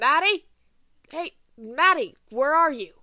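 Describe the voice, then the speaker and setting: Using a put-on character voice, a man speaks at a fairly slow pace and an extremely high pitch. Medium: read story. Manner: tense, urgent.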